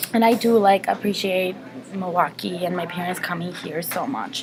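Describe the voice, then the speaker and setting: A woman speaks with ordinary pitch variation against noticeable background noise. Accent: Mexican. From Mexico, moved to Wisconsin at 12. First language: Spanish. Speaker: interviewee, college student. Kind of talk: interview.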